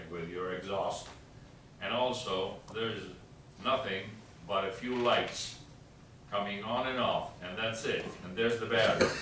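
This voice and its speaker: Noticeable background noise and audible room echo fill the recording. A man speaks at a fairly low pitch and a fairly slow pace, with fairly even intonation. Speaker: resident speaking at public meeting. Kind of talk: public comment at town meeting. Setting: town hall meeting. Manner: halting.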